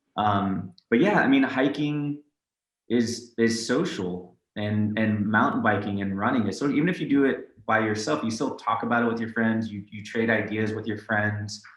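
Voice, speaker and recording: A man's medium-pitched voice with a Californian accent, ordinary pitch variation and a moderate pace. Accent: Californian American. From San Francisco Bay Area. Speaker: tech company CEO. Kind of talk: interview.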